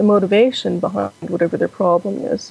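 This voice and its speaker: A woman with a medium pitch speaks amid noticeable background noise. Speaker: Buddhist practitioner. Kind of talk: interview answer.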